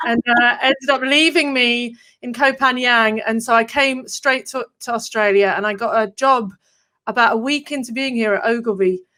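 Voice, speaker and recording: A woman speaks in a high voice with a bright, sharp tone. Her pace is moderate. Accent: English. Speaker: copywriter and marketer. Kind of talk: casual interview chat.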